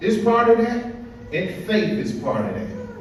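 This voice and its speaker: With an American accent and an energetic tone, a man speaks at a high pitch over noticeable background noise. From Little Rock, Arkansas, USA. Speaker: educator and spoken word poet. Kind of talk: motivational youth conference speech to students. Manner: energetic, preachy, conversational.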